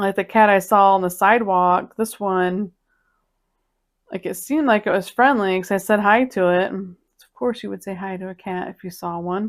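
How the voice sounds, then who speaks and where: On a very clean recording with a silent background, a woman speaks in an ordinary speaking voice at a medium pitch. Her pace is moderate and her intonation fairly even. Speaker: cat video creator. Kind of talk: casual chat.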